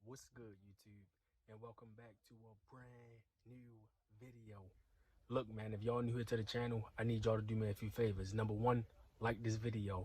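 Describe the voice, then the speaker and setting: A man speaks in a somewhat breathy voice with monotone, flat intonation. His loudness swings widely. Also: medium pitch for a man, moderate pace. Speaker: YouTube commentary vlogger. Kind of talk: casual commentary vlog.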